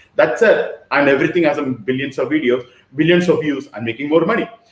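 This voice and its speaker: This man talks at a fairly quick pace in a fairly high pitch. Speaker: online business mentor. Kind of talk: workshop lecture. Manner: fast.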